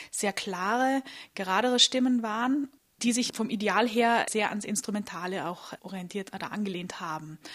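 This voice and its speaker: In a normal speaking voice, a woman talks at a moderate pace with a fairly high pitch and fairly even intonation, captured in a very clean recording with a silent background. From Austria, Vorarlberg (Bregenz). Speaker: soprano singer. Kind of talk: interview. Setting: historic building at a festival.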